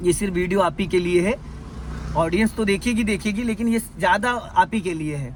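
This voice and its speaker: A man's high-pitched voice with ordinary pitch variation at a moderate pace, amid noticeable background noise. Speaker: driving instructor. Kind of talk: in-car driving lesson. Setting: in a car. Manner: stern, scolding.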